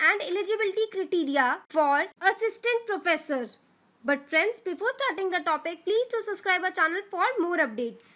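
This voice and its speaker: With an extremely high pitch, a bright, sharp tone and lively intonation, this woman's voice stands out. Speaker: educational YouTube presenter. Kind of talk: tutorial.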